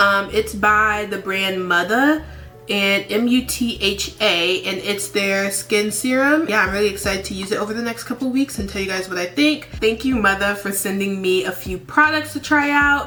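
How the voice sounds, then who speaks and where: Against noticeable background noise, a woman talks at a moderate pace and medium pitch with ordinary pitch variation and hardly any pauses. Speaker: beauty vlogger. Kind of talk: makeup tutorial. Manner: casual, chatty.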